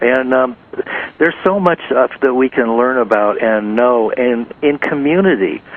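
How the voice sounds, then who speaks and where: Noticeable background noise sits under a man's medium-pitched voice. He talks at a fairly slow pace, with ordinary pitch variation and very even loudness. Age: 60s. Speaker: talk show host. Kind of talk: interview. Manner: halting.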